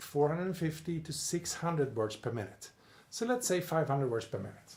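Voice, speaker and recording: A somewhat breathy man talks at a fairly quick pace with a Swedish accent and ordinary pitch variation. There is audible room echo. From Sweden. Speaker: personal development coach. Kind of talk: video lecture with whiteboard drawing.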